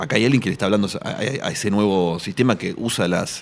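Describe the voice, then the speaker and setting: A man's fairly low voice at a fairly quick pace, ordinary pitch variation, noticeable background noise. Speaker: writer and journalist. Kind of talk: radio interview. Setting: radio studio at book fair. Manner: fast.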